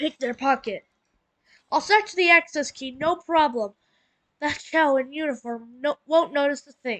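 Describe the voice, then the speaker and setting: A woman puts on a character voice, pitched high and moving at a moderate pace. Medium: solo performance. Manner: sly, flirty.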